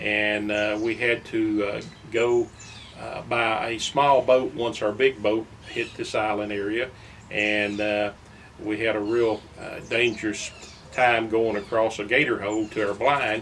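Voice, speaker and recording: Speaking with an East Texas accent, a man with a fairly low voice talks at a fairly slow pace in a monotone, flat intonation over noticeable background noise. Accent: East Texas Southern US. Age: 70s. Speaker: local fisherman and former lake guide. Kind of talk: personal reminiscence. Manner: halting, many fillers.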